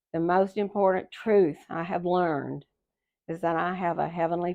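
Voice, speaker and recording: At a moderate pace, a woman with an American accent speaks in a fairly low pitch with monotone, flat intonation. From Texas. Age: 70s. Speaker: retired school secretary. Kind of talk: life story interview; reading aloud. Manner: halting.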